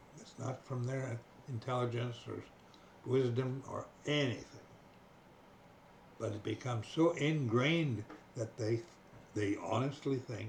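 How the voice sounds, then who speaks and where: Somewhat breathy, a man speaks with a Canadian accent at a fairly slow pace with long, frequent pauses. His pitch varies in an ordinary way, and his loudness swings widely. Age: 80s+. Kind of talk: casual monologue to camera. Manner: slow, hesitant.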